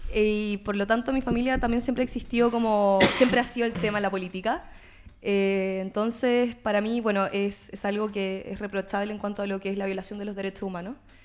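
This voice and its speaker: Here is a woman with a plain, everyday voice and medium pitch. She talks at a fairly quick pace with fairly even intonation. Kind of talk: political talk show interview.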